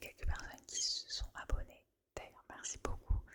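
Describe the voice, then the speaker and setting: Whispering, a woman goes along at a fairly slow pace. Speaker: ASMR creator. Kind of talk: casual talk to camera. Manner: whispered.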